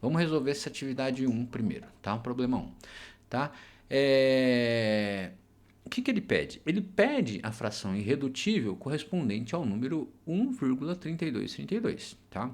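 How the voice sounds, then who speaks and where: A man of medium pitch speaks with very wide pitch swings, and the room echo is audible. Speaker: math teacher. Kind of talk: lecture. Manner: slow; hesitant fillers (é, tá).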